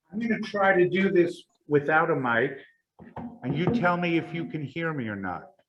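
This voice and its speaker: With audible room echo, a man talks at a moderate pace in a high pitch with lively intonation. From New York. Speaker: organization chairman, speaker. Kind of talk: public talk. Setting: synagogue hall with audience. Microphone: first without mic, then with mic.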